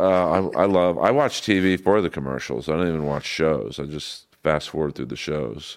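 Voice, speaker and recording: In an American accent, a man with a very deep, low voice speaks at a moderate pace with ordinary pitch variation and hardly any pauses. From Los Angeles, US West Coast. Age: 50s. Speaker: comedian. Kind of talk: casual chat.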